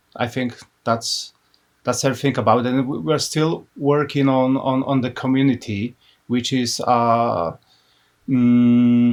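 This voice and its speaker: A man with a Polish accent at a medium pitch and a fairly slow pace. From Poland, Łódź. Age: 30s. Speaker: business owner and graphic designer. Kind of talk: casual interview. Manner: halting.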